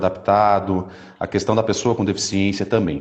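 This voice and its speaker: A man's fairly low voice, an ordinary speaking voice with fairly even intonation. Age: 30s. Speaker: Paralympic athlete and speaker. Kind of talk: testimony.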